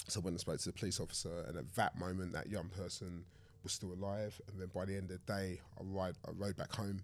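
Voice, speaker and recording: With a London accent, a man talks at a fairly quick pace in a fairly low voice. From southeast London. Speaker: charity founder and author. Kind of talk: casual discussion.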